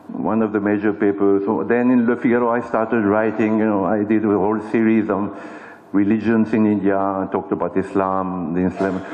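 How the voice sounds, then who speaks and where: A man with a French accent talks at a fairly quick pace, his intonation monotone and flat and his loudness very even. Noticeable background noise sits behind him. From France. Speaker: journalist and author. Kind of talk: symposium talk. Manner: conversational, many fillers.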